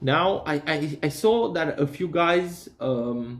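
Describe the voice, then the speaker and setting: A man speaks with a non-native accent. His pitch variation is ordinary. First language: not English. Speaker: DIY hobbyist. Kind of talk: tutorial. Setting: workshop. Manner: halting, many fillers and repeats.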